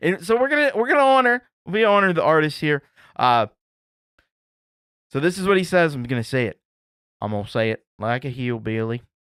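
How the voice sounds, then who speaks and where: Fairly high in pitch, a man with an American accent talks at a fairly quick pace, his pitch swinging very widely. There are long, frequent pauses, and the sound is dry and close with no echo. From Appalachia, US. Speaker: music showcase host. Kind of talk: casual show hosting, reading submissions. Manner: casual, filler-heavy.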